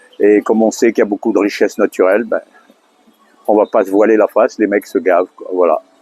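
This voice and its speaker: Over music in the background, a man talks at a fairly quick pace with big swings in loudness, recorded dry and close with no echo. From Madagascar. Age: 70s. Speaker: industrial weighing technician. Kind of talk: street interview. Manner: hesitant, many fillers.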